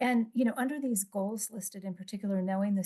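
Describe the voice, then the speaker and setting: Her tone is dark and mellow, and somewhat breathy. The woman's pitch sits at a medium level. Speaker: psychologist. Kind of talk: conference presentation. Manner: fast.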